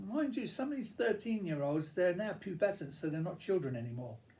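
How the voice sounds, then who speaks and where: A man speaks in a high-pitched voice. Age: 70s. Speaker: YouTuber. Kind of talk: casual monologue. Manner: halting.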